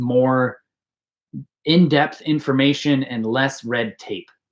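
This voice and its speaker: Ordinary pitch variation marks this man's fairly high voice. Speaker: archery YouTuber and coach. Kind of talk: live stream Q&A. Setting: YouTube live stream. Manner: fast; animated.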